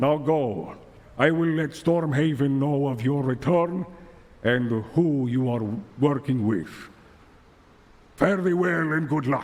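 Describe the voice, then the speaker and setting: Putting on a character voice, a man speaks fairly high and fairly slowly, leaving long, frequent pauses. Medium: actual play. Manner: formal, commanding.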